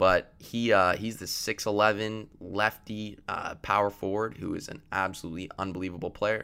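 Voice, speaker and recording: On a very clean recording with a silent background, a man with a Canadian accent talks at a moderate pace in a bright, sharp, fairly low voice, monotone and flat, with hardly any pauses. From Canada. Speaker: student podcast host. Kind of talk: solo sports commentary podcast.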